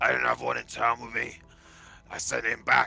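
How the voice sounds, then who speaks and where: A man speaks in a raspy, put-on character voice at a moderate pace. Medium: actual play.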